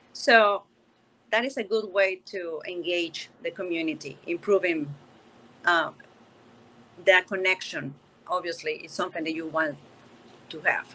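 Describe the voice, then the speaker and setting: With a Spanish accent and a bright, sharp tone, the speaker moves at a fairly slow pace with long, frequent pauses, ordinary pitch variation, and big swings in loudness. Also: woman, medium pitch for a woman. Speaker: panelist. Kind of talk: virtual panel discussion.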